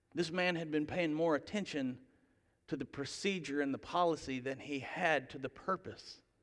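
On a very clean recording with a silent background, a man speaks fairly slowly in a fairly high voice with ordinary pitch variation. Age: 30s. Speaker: pastor. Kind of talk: sermon.

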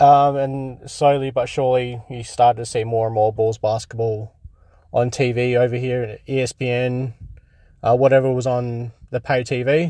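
An Australian-accented man talks at a moderate pace in a dark, mellow tone with monotone, flat intonation. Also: medium pitch for a man. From Australia, Perth. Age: 30s. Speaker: podcast host. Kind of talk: casual solo podcast commentary. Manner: halting, many fillers.

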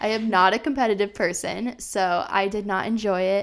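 Against a silent background in a very clean recording, a woman with an American accent uses an ordinary speaking voice at medium pitch, with fairly even intonation and a moderate pace. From Iowa, US Midwest. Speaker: podcast co-host, marketing-trained entrepreneur. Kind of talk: casual chat. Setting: studio microphone.

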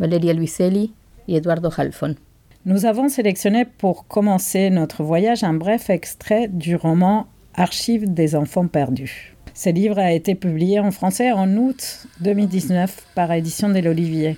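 A woman with a Spanish accent speaks at a medium pitch in a dark, mellow tone. Her pace is fairly slow, her pitch varies in an ordinary way, and her loudness stays very even. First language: Spanish (speaking French). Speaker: bookseller, podcast co-host. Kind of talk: casual chat about books.

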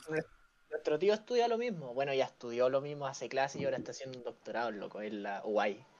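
A man speaks very fast with a Chilean accent. His fairly high voice swings very widely in pitch. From Chile, Valparaíso. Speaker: podcaster. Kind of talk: casual chat.

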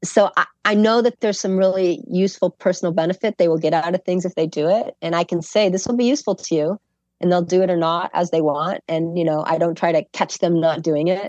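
A woman's plain, everyday voice at a medium pitch and fairly quick pace, with ordinary pitch variation and a dry, close sound with no echo. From Chicago. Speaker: professor. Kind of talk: casual chat.

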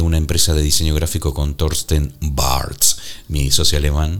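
Noticeable background noise fills the recording. Through it, a man speaks at a fairly slow pace. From Argentina. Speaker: podcast co-host, former radio host. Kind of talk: casual chat.

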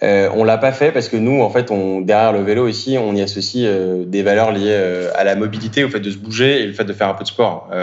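Man's fairly low voice at a fairly quick pace, with fairly even intonation, hardly any pauses and noticeable background noise. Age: 30s. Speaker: startup co-founder. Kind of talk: interview. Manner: halting.

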